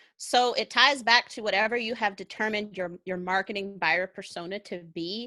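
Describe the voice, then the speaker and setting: A woman's bright, sharp voice at medium pitch and moderate pace, with big swings in loudness and a dry, close sound with no echo. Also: ordinary pitch variation, hardly any pauses, very clean recording, silent background. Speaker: content marketer, army veteran. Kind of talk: interview on livestream show. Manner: energetic.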